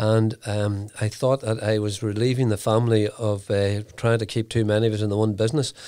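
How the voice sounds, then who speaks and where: A dark, mellow tone holds a monotone, flat intonation at a fairly quick pace with hardly any pauses, in a very clean recording with a silent background. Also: man, fairly low pitch for a man. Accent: Northern Irish. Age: 70s. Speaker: entrepreneur. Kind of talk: interview. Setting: studio. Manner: halting.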